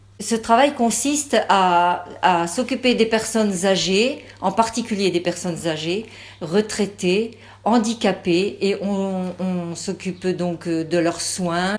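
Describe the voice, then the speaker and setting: Speaking very slowly, a woman uses a medium pitch. Her pitch varies an ordinary amount. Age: 60s. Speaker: parliamentary candidate. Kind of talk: campaign statement. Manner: halting, many fillers.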